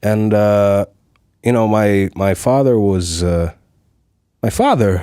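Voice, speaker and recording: Speaking very slowly with long, frequent pauses, a man has a dark, mellow tone and fairly even intonation. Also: fairly low pitch for a man. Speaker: voice actor; sound engineer. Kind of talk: interview answer.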